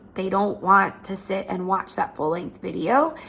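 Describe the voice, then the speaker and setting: A woman with a medium pitch talks with vocal fry and fairly even intonation. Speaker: chiropractor. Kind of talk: tutorial. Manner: fast.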